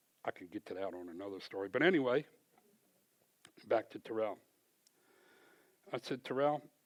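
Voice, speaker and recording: At a fairly quick pace, a man with a medium-pitched voice speaks with lively intonation. His loudness swings a lot, and he takes long, frequent pauses. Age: 60s. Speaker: church member giving testimony. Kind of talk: testimony. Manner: conversational.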